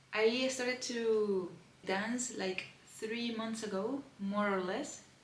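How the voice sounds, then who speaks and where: With a Spanish accent, a woman talks at a fairly slow pace and a fairly high pitch, with audible room echo and noticeable background noise. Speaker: lifestyle vlogger. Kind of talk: unboxing vlog. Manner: animated.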